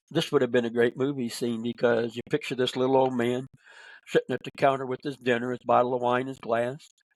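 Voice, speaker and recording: A man with a Midwestern American accent talks at a fairly quick pace and medium pitch. His intonation is monotone and flat, and the sound is dry and close with no echo. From Northern Indiana. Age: 80s+. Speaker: author and speaker. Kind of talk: podcast interview answer.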